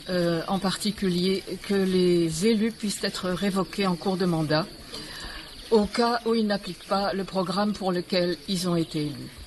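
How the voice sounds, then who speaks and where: There is noticeable background noise as a woman speaks. Her intonation is fairly even and her pace fairly slow. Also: medium pitch for a woman. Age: 70s. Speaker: political activist. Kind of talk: personal testimony. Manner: hesitant.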